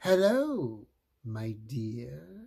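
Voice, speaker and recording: A put-on character voice, raspy and guttural. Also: man. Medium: read story. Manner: sly, mocking.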